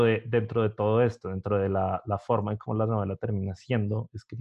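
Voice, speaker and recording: A plain, everyday voice from a man, medium in pitch, at a moderate pace. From Colombia, Bogotá. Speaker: podcast host. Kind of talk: interview.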